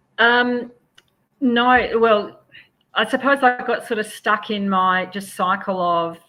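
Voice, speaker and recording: A woman talks with an Australian accent in a bright, sharp tone. The background is quiet. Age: 60s. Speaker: property renovator and investor. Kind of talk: interview.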